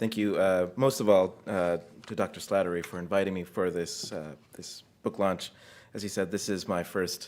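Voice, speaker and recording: Speaking at a moderate pace with fairly even intonation, a man with an American accent has a fairly low pitch in a very clean recording with a silent background. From United States. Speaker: theologian and author. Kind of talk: academic talk at book launch. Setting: room with live audience.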